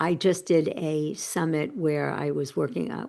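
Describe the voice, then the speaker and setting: A woman talks in a New York accent. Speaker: personal transformation coach and author. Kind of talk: interview. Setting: podcast interview.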